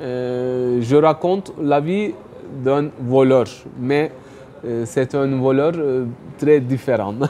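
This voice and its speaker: A man with a Turkish accent and a medium pitch speaks very slowly with ordinary pitch variation and long, frequent pauses, over noticeable background noise. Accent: non-native French, Turkish. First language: Turkish (speaking French). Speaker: writer and economics youtuber. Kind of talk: interview. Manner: hesitant, many fillers.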